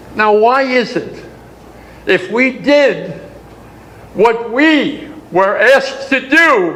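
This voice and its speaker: Speaking very slowly with long, frequent pauses, a man with an American accent uses an extremely high pitch and lively intonation, amid audible room echo and noticeable background noise. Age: 90s. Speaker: war veteran. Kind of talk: speech to an audience. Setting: conference session.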